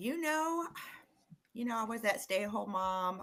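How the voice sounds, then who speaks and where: A plain, everyday voice, with ordinary pitch variation at a moderate pace. The recording is very clean, with a silent background. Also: woman. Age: 60s. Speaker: sales rep and esthetician, digital marketer. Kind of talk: casual interview chat. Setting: live-streamed video podcast.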